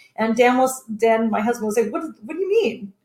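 A woman in a Canadian accent speaks at a moderate pace with an unremarkable speaking voice. Her pitch is fairly high. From Kitchener-Waterloo, Ontario, Canada. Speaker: entrepreneur. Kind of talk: casual interview.

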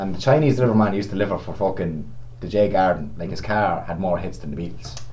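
A man with a Meath Irish accent and very deep, low pitch at a very fast pace, with very wide pitch swings, audible room echo, and noticeable background noise. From Navan, County Meath, Ireland. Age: 20s. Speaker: sports shop worker. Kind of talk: casual chat.

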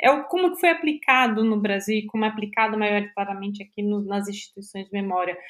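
The pace is fairly quick, with hardly any pauses. Pitch variation is ordinary. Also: woman, fairly high pitch for a woman. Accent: Brazilian. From Brazil, São Paulo. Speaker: museum documentation researcher. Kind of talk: casual chat.

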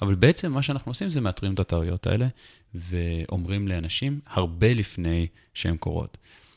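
Lively intonation from a man with a very deep, low pitch, a dry, close sound with no echo, and a very clean recording, silent background. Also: moderate pace. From Israel, Jerusalem. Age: 30s. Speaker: tech startup founder and CEO. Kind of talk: interview.

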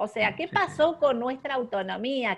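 A woman speaks with lively intonation. Her background is quiet. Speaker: podcast host. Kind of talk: interview.

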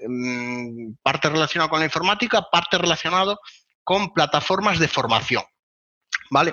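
The intonation is lively. The pace is moderate. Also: man. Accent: Castilian. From Spain. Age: 20s. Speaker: web performance consultant. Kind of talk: interview.

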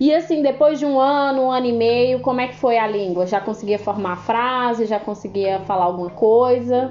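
Her voice is an unremarkable speaking voice, fairly high in pitch for a woman, with ordinary pitch variation. She moves at a moderate pace with hardly any pauses. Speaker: podcast host. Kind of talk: interview.

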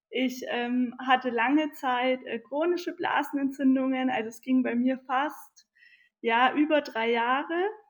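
A high-pitched woman's voice at a very slow pace, with ordinary pitch variation. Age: 20s. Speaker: nutritionist and naturopath. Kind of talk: interview conversation. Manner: hesitant, many filler sounds.

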